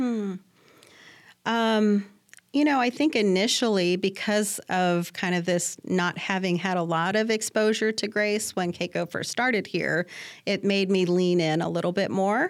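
A woman talks in a normal speaking voice at a medium pitch and a fairly slow pace. Her loudness stays very even, with ordinary pitch variation. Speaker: cancer research scientist. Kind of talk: interview. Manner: frequent fillers (um).

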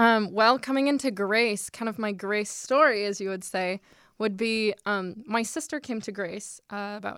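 Here is a woman with a plain, everyday voice and a fairly high pitch. Her pace is moderate and her pitch variation ordinary, on a very clean recording with a silent background. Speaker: college student. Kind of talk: interview.

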